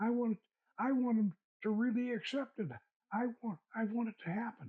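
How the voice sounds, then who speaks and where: A man with an American accent speaks at an extremely high pitch. He keeps a moderate pace and ordinary pitch variation. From US South. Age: 80s+. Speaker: occult author and filmmaker. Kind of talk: interview conversation. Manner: halting, many repetitions.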